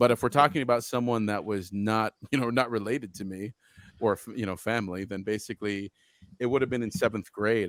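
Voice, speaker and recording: The sound is dry and close with no echo as a man with an American accent speaks at a fairly low pitch. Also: very clean recording, silent background. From Utah. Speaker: video game developer and entrepreneur. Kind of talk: casual interview chat. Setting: live-streamed show. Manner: animated.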